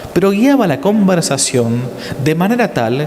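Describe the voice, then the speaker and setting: A man with a Rioplatense accent speaks with very wide pitch swings, with audible room echo and noticeable background noise. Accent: Argentine Spanish (rioplatense). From Argentina. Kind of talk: lecture. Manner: fast.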